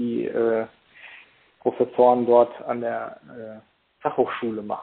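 At a moderate pace, a man speaks. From Germany, Paderborn area (East Westphalia). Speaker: hypnotherapist and lecturer. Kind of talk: interview. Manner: hesitant, many fillers.

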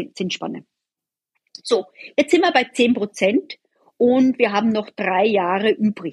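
A woman speaks at a fairly slow pace, somewhat breathy. The sound is dry and close, with no echo. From Austria. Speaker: bond portfolio manager. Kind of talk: interview.

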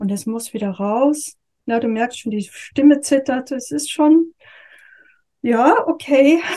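A woman's high voice with a dark, mellow tone, very slow and broken by long, frequent pauses. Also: ordinary pitch variation. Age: 50s. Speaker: yoga and communication teacher. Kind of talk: interview.

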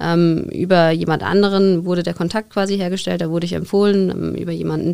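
In a fairly low voice with a dark, mellow tone, a woman speaks in a monotone, flat way. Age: 30s. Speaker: women's football coach and teacher. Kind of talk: podcast interview. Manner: somewhat halting, with repetitions and fillers.

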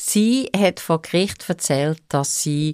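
A woman with a Swiss accent talks at a very slow pace with lively intonation, in a dry, close sound with no echo. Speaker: court reporter. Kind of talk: casual chat.

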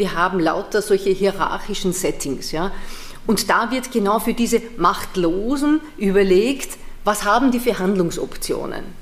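With a Viennese accent and a medium pitch, a woman speaks at a fairly slow pace amid audible room echo and noticeable background noise. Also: ordinary pitch variation. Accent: Austrian (Viennese). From Vienna, Austria. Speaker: theology professor. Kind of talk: lecture.

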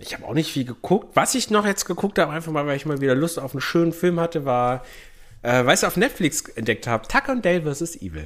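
Very wide pitch swings mark this man's fairly high voice. He talks at a very fast pace. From Bavarian Swabia (Unterallgäu), Germany. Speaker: podcast co-host. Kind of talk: casual chat. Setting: same room with co-host.

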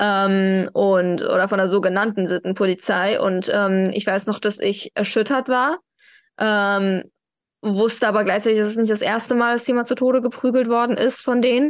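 Over a quiet background, a woman talks at a moderate pace with a fairly high pitch, ordinary pitch variation and very even loudness. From Germany, Iranian family. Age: 20s. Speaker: activist and social media manager. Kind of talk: interview. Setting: video call. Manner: hesitant with many fillers.

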